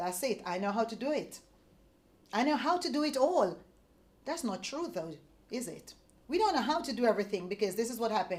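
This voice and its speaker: Animated and fairly quick, a woman speaks at a fairly high pitch with very wide pitch swings and long, frequent pauses. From Jamaica. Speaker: sales leader. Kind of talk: motivational talk. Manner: fast.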